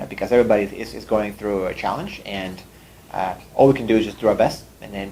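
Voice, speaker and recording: A man with a fairly low pitch and vocal fry talks at a very fast pace with ordinary pitch variation. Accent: Russian. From Russia, moved to Canada at fifteen. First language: Russian. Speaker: startup CEO. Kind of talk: interview talk. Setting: room with audience.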